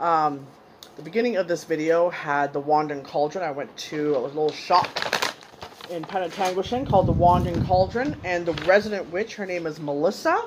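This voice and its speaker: Loud background noise fills the clip. Through it a woman speaks at a moderate pace. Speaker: haul vlogger. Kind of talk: casual vlog chat. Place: home room. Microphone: phone near.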